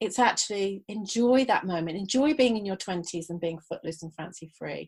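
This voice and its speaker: A woman speaks with an English accent at a fairly quick pace. Her intonation is lively. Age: 60s. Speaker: holistic health coach and author. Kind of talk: podcast interview.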